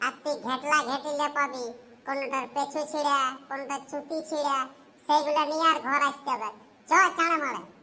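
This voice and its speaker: A woman's cartoonish character voice, high-pitched, with fairly even intonation and a moderate pace. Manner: teasing, laughs often.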